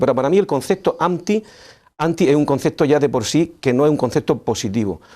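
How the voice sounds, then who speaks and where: Lively in intonation and fairly quick, a man speaks with a dark, mellow tone at a fairly high pitch. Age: 60s. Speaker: local politician. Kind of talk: TV interview.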